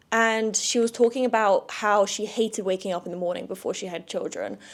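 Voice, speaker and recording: A woman speaks with a southern English accent. Her pitch is fairly high. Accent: southern English (London area). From London suburbs, England. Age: 20s. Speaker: podcast host. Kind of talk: casual solo chat.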